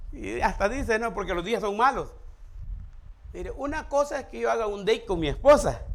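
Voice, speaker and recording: Audible room echo surrounds a man speaking at a fairly quick pace with lively intonation. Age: 60s. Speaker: pastor. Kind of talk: sermon.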